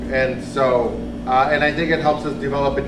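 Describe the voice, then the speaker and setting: A man speaks through noticeable background noise and audible room echo. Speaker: homeless advocate. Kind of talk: interactive talk. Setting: live audience, no microphone.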